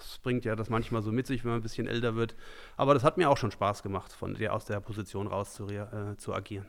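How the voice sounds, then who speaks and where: Speaking very fast with fairly even intonation, a man at medium pitch is heard in a very clean recording with a silent background. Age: 40s. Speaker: amateur football coach. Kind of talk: podcast interview.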